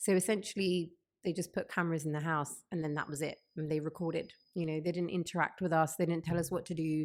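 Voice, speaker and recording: Speaking very fast with a West London accent, a woman keeps a fairly low pitch and a monotone, flat intonation. The recording is very clean, with a silent background. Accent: West London (Hounslow). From West London, Hounslow. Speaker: radio and TV presenter. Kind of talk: podcast interview.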